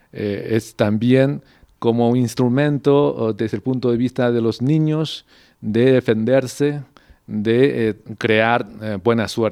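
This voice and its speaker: A man with a Mandarin Chinese accent speaks very slowly in a dark, mellow tone at medium pitch, with ordinary pitch variation. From China, Beijing. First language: Mandarin Chinese (speaking Spanish). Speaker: diplomat. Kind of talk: interview. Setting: ambassador's residence. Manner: halting, many fillers.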